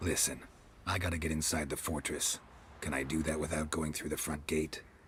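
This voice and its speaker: A man uses a put-on character voice with a very deep, low pitch, a deadpan tone and monotone, flat intonation, going at a fairly quick pace over clear background noise. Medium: video game. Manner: terse, clipped, deadpan.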